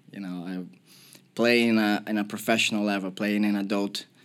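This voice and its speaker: A man with a Portuguese accent talks at a fairly quick pace and a fairly low pitch. The recording is very clean, with a silent background. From Brazil, Porto Alegre. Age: 30s. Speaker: professional footballer. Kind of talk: podcast interview. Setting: studio.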